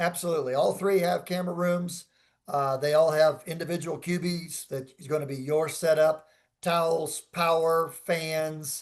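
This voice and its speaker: Against a quiet background, a man with a fairly high pitch speaks at a moderate pace in a monotone, flat intonation. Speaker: resort sales representative. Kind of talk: Q&A in a virtual seminar. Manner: loud.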